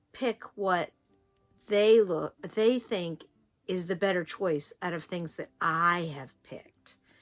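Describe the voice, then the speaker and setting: A woman with an American accent speaks very slowly in a fairly low voice while music plays in the background. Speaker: quilting tutor, former teacher. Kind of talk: tutorial. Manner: animated.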